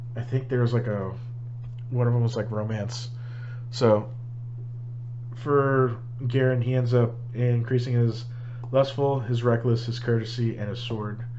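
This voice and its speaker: Noticeable background noise accompanies a man whose medium-pitched voice stays monotone and flat at a moderate pace. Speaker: solo tabletop role-playing gamer. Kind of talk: casual talk to camera recapping a game session. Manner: hesitant, with frequent filler words.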